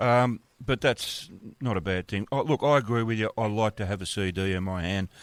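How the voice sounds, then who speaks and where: Here a man speaks at a fairly low pitch. The sound is dry and close, with no echo. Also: ordinary pitch variation, fairly quick pace, very clean recording, silent background. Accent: Australian. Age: 70s. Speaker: radio host. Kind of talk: casual interview. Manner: halting.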